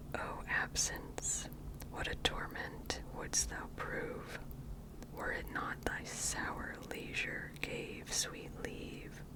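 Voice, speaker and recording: Someone whispers at a very slow pace in an American accent, with noticeable background noise. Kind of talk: whispered ASMR poetry reading. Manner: whispered, soft-spoken.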